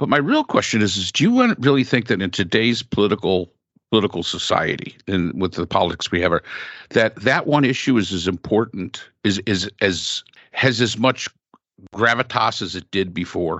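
The speaker has an unremarkable speaking voice, moving at a moderate pace with ordinary pitch variation. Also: man, fairly low pitch for a man. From upstate New York, Finger Lakes. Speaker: podcast host. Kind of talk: casual chat.

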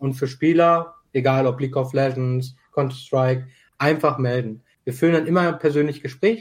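At a moderate pace, a man speaks somewhat breathily at a fairly high pitch with ordinary pitch variation. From Germany, Dortmund. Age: 20s. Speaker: esports club co-founder. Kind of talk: casual chat.

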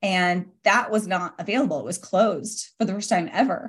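A woman's medium-pitched voice in a Western US accent, with ordinary pitch variation. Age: 40s. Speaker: author and entrepreneur. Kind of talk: interview. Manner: animated.

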